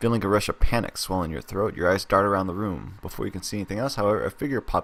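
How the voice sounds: This is a natural reading voice. It reads the words through.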